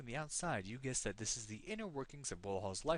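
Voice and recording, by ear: This clip has someone reading aloud in a natural voice.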